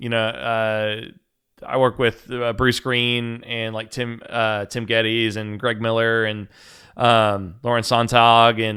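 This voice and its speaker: Delivery comes at a fairly slow pace in a monotone, flat intonation. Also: man. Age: 30s. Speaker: podcast host. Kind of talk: casual chat.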